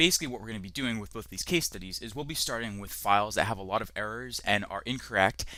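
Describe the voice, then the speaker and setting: Very fast and lively, a man's bright, sharp voice comes through on a very clean recording with a silent background. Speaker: online course instructor. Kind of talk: tutorial.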